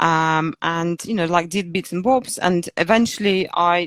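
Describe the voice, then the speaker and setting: In a Belarusian accent, a woman speaks with a fairly low pitch and fairly even intonation. The sound is dry and close, with no echo. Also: very clean recording, silent background. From Belarus, Minsk. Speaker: fitness coach. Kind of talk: interview. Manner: hesitant, many fillers.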